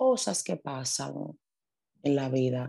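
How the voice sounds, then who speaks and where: The woman's voice has a dark, mellow tone. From Dominican Republic, raised in the Bronx from age eight. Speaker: social media influencer. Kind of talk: interview.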